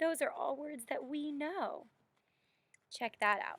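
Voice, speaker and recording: Heard in a dry, close recording with no echo, a woman talks at a fairly slow pace. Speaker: elementary school teacher. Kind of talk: online lesson for young children. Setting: outdoors. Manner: loud; animated.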